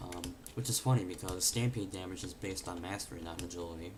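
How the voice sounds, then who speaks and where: A somewhat breathy man's voice, very deep and low, at a very fast pace. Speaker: gamer. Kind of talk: game tutorial voice-over. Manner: flat, monotone; hesitant, many fillers.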